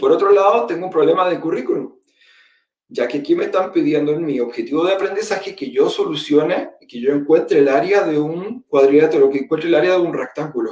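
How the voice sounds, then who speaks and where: A man speaks at a fairly quick pace with a Chilean accent. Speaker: teacher and education technology presenter. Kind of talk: webinar presentation. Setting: online webinar.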